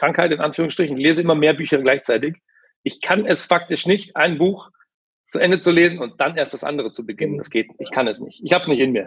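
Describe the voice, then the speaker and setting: The pace is very fast, while pitch variation stays ordinary. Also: man. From Ruhr area, Germany. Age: 30s. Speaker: sales manager and author. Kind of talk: interview conversation.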